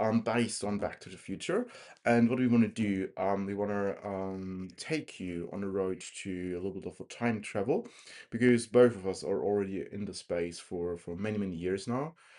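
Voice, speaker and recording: A man with a German accent, fairly low in pitch, dark and mellow in tone, at a moderate pace with fairly even intonation against a quiet background. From Germany, Erlangen area (Franconia). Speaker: tech podcast co-host. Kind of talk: casual chat. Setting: airport, recording together in person.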